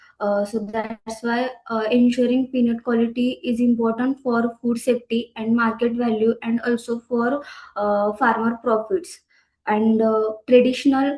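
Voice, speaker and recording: A soft-spoken woman's fairly high voice, dark and mellow in tone, with an Indian accent, monotone flat intonation and a fairly slow pace. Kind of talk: conference presentation. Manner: halting, many fillers. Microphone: too quiet at first.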